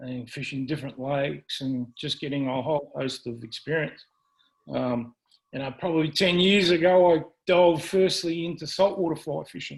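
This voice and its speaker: A man with an Australian accent talks at a moderate pace in a fairly high pitch with ordinary pitch variation. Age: 60s. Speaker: fly fishing presenter. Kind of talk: presentation to club. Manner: halting, many fillers.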